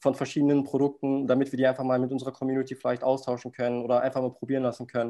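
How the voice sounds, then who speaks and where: A man's voice, medium in pitch with a dark, mellow tone, comes through over a quiet background. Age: 20s. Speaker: startup founder. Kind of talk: interview.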